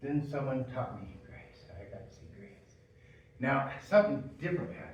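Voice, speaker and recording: A man with a fairly high pitch talks through audible room echo and noticeable background noise. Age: 60s. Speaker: preacher. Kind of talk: sermon. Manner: halting.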